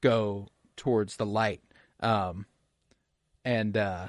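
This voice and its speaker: A man with a fairly low voice speaks in a dry, close recording with no echo and a quiet background. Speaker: podcast host. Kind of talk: solo podcast review. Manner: halting, stuttering over words.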